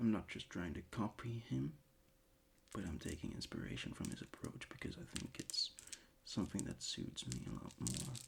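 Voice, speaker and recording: Vocal fry runs through this man's very deep, low voice as it moves in very wide pitch swings. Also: moderate pace. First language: not English. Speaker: ASMR creator. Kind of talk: casual ASMR chat. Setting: bedroom desk. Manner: halting.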